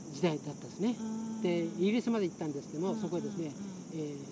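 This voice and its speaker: A man speaks in a high voice. Noticeable background noise runs underneath. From Kagoshima, Yakushima island. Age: 70s. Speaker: retired engineer and environmental activist. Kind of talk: interview. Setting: outdoors on a lawn.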